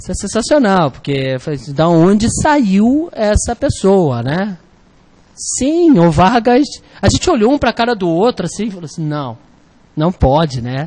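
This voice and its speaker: A man in a Rio de Janeiro accent, high-pitched and animated, with very wide pitch swings at a fairly slow pace. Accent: carioca. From Rio de Janeiro, Brazil. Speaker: exam prep teacher. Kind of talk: online lecture.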